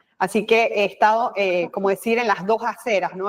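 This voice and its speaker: A woman speaks with a Panamanian accent. Her pitch sits in the medium range. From Panama, Colón (Atlantic side). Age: 50s. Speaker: communication expert, former news presenter and politician. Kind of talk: interview.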